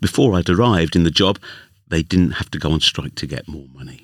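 A man with a London accent, fairly quick, warm and amused in tone, with vocal fry. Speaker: union official turned podcast storyteller. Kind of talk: literary audiobook reading, scripted first-person narration. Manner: measured, warm storyteller pacing with wry, lightly amused asides.

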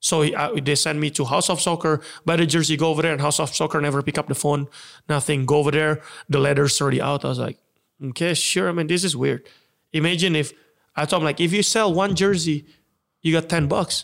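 A man's fairly high voice at a very fast pace, with fairly even intonation and very even loudness, on a very clean recording with a silent background. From Indonesia. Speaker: entrepreneur and former soccer player. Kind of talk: casual interview.

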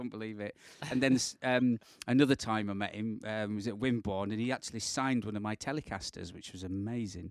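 With a British accent, the speaker talks at a very fast pace in an animated tone, in a dry, close sound with no echo. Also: man, fairly low pitch for a man. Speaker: podcast co-host, guitarist. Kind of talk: casual chat. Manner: jokey, animated.

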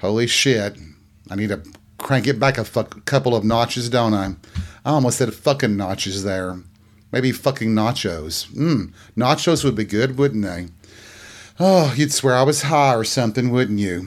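A man with a slight East Tennessee accent speaks at a medium pitch with lively intonation. He leaves long, frequent pauses on a very clean recording with a silent background. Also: moderate pace. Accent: light Southern US (East Tennessee). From Tennessee, near the Smoky Mountains. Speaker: podcast host. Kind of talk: casual storytelling monologue.

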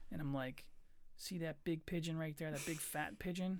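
Speaking in an American accent, the voice has an animated tone and a moderate pace. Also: man. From Philadelphia area, Pennsylvania. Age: 30s. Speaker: podcast host. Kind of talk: casual chat. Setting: studio with microphones. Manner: laughs often; profane, animated.

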